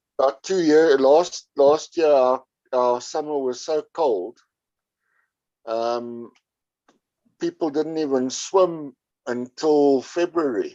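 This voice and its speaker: With a South African accent, a man talks very slowly at a fairly high pitch, pausing long and often. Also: ordinary pitch variation. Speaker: podcast guest. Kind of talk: casual chat. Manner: halting.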